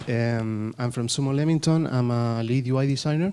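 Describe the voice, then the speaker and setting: Speaking in a Spanish accent, a man has a dark, mellow tone at a medium pitch. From Chile. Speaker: game designer. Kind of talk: panel discussion.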